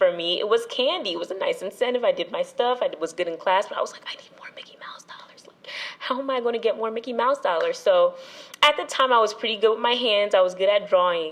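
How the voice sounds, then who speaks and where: Very fast speech in an American accent, with big swings in loudness. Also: woman. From New Jersey. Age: 20s. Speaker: entrepreneurship student. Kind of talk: casual interview chat. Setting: podcast.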